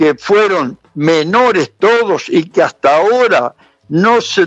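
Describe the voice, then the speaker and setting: A man with a high pitch speaks at a very slow pace while music plays in the background. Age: 80s+. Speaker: human rights witness, relative of murder victim. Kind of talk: interview. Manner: hesitant fillers (este).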